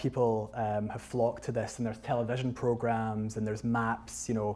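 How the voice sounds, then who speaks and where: A man's dark, mellow voice in a West of Scotland accent, with monotone, flat intonation. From Scotland, North Ayrshire. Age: 30s. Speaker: photographer and author giving a talk. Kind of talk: public lecture with slides. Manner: hesitant, many fillers and restarts.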